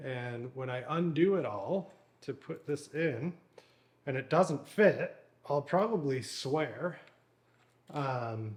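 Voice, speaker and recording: A man with a fairly high pitch talks very slowly and somewhat breathily, using lively intonation and long, frequent pauses. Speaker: mountain bike youtuber. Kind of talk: tutorial. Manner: casual, filler-heavy.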